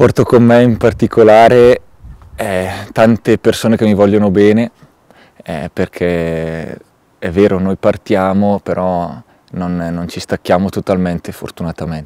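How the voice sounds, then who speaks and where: A man speaks at a fairly slow pace with long, frequent pauses, his fairly low pitch showing ordinary variation. His tone is dark and mellow, and the sound is dry with no echo. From Italy. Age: 30s. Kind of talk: testimony. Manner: halting, with many hesitations. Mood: calm, reflective. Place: open country.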